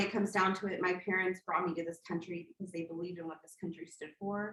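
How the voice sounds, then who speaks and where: This woman talks at a fairly quick pace with a medium pitch and fairly even intonation. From Texas, Katy (Houston area), born in Colombia. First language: Spanish. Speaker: political candidate, attorney. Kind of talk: campaign speech. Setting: community meeting in a church, also on Zoom.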